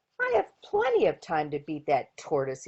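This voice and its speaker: This is a put-on character voice. It proceeds at an average speed. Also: woman, very deep, low pitch for a woman. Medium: read story. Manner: smug, teasing.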